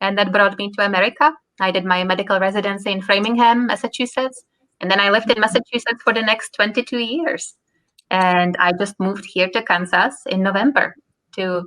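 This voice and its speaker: A woman with a strong Czech accent speaks at a fairly quick pace in a medium pitch, with a bright, sharp tone and ordinary pitch variation. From Czech Republic. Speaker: physician. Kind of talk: casual interview.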